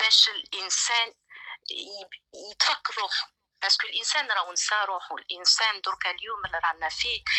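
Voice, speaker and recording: Here a woman speaks at a medium pitch. Her pace is moderate, and her pitch varies in an ordinary way. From Algeria. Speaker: caller. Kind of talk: call-in opinion. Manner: halting.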